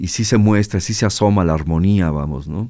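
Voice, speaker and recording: This recording is very clean, and the background is silent. A man is speaking at a moderate pace. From Mexico, Guadalajara. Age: 60s. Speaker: musician. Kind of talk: interview. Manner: halting, many repetitions.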